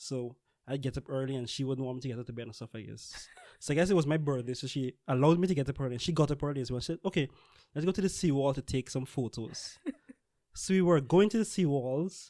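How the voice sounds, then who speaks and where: A man in a Guyanese accent talks at a very fast pace and a fairly high pitch, with ordinary pitch variation. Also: very clean recording, silent background. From Guyana. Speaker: scientist. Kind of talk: casual podcast conversation.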